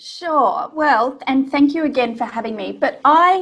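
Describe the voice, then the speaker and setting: With an Australian accent, a woman talks at a fairly slow pace. Her intonation is lively. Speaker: business coach. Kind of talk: interview.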